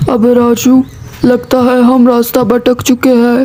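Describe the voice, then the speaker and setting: Over light background noise, a cartoonish character voice speaks fairly slowly at a fairly high pitch in a monotone, flat intonation. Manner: brash, cocky.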